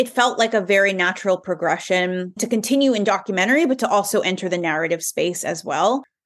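A woman with an unremarkable speaking voice talks at a fairly quick pace. Her pitch shows ordinary variation. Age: 30s. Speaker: filmmaker and journalist. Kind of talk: interview conversation.

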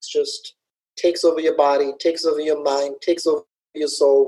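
A man speaks at a moderate pace in a fairly high pitch, his dark, mellow tone held in a flat monotone. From Dubai, UAE (Somali roots). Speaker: salsa festival organizer and dance event host. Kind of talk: casual interview.

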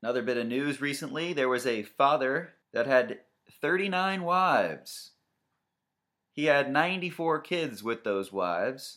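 With a fairly high pitch and a bright, sharp tone, a man speaks at a very slow pace with lively intonation on a very clean recording with a silent background. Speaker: comedy radio-style podcast host. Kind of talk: stand-up style comedic monologue riffing on news, crude jokes and dating profile readouts. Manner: mock radio-DJ patter.

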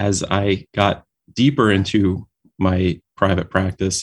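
In a very clean recording with a silent background and a dry, close sound free of echo, a man with an American accent speaks in a very deep, low voice, his intonation flat and monotone. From New York City, Brooklyn. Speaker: dentist and company founder. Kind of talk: interview. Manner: halting, with repeated words and fillers.

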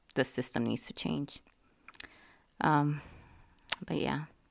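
Her pace is fairly slow, and this woman's voice carries vocal fry with ordinary pitch variation. The recording is very clean, with a silent background. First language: not English. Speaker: podcast host. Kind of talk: monologue commentary. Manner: halting, many fillers and repeats.

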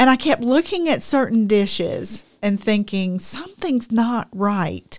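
Speaking fairly slowly with hardly any pauses, a woman uses a plain, everyday voice at a fairly high pitch, with lively intonation and very even loudness. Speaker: podcast co-host. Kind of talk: casual chat.

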